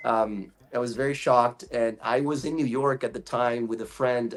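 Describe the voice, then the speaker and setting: A man talks at a moderate pace with an American accent. His pitch is medium, and background noise is noticeable. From Brazil. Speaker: voice actor. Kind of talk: interview.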